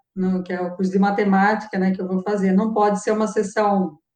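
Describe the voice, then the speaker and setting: Here a woman has an ordinary speaking voice. She talks at a moderate pace and a medium pitch. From Brazil, Araras (São Paulo state). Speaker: mathematics professor. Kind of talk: interview.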